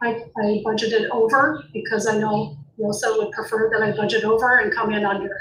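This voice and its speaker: Amid noticeable background noise and audible room echo, a woman with fairly high pitch talks at a fairly quick pace. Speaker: school district administrator. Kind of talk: board meeting report. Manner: halting.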